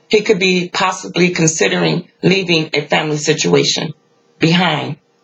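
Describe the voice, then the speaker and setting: A woman speaks at a fairly low pitch with ordinary pitch variation. Her pace is moderate. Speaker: tarot reader. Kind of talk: tarot reading commentary. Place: home room. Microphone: phone near.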